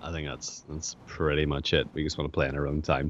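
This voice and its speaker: A man is speaking. He has an Irish accent. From Ireland. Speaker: podcast co-host. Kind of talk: casual chat.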